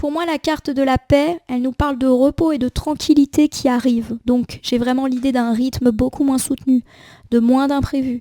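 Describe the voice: The voice has a dark, mellow tone and fairly even intonation, recorded with a dry, close sound and no echo. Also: woman, high pitch for a woman, moderate pace.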